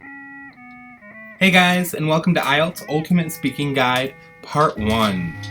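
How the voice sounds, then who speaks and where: The speaker goes at a fairly slow pace, with very wide pitch swings and big jumps in loudness. Music plays in the background. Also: man, fairly high pitch for a man. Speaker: English teacher. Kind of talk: educational tutorial narration.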